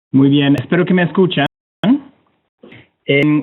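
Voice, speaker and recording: A man with a Canadian accent speaks with fairly even intonation. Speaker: climate technology center official. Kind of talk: webinar presentation. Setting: online webinar. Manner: halting.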